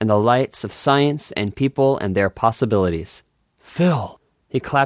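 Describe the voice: Against near-silent surroundings, someone engages in plain reading aloud.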